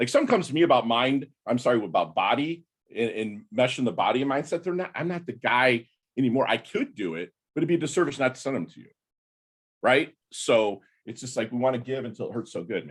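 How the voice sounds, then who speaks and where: Talking at a very fast pace, a man uses a medium pitch, lively intonation, and vocal fry, with big swings in loudness. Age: 50s. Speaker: navy veteran and podcaster. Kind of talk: casual chat. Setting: video call.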